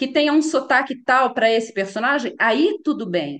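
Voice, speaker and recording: A high-pitched woman at a fairly slow pace, with lively intonation. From Brazil, Minas Gerais (Belo Horizonte). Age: 50s. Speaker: voice actress. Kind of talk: interview. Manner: repetitive, explanatory with fillers.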